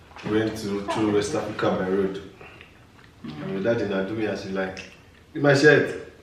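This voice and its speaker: Taking long, frequent pauses, a man speaks amid audible room echo and noticeable background noise. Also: fairly low pitch for a man, ordinary pitch variation, moderate pace. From Nigeria. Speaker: YouTuber, married couple channel. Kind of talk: casual chat.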